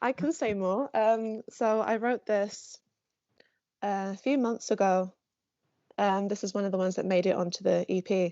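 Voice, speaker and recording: A woman speaks at a moderate pace with long, frequent pauses. Her pitch is medium, with ordinary pitch variation. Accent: London. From North London. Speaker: songwriting student. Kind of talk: casual chat. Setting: video call.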